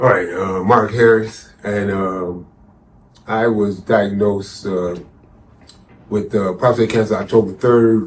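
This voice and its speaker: A man speaks at a fairly slow pace and fairly low pitch, with fairly even intonation. Long, frequent pauses break up his speech, and audible room echo is present. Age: 60s. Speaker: cancer survivor and advocate. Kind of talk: interview testimony. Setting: on location at a conference. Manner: halting, many fillers.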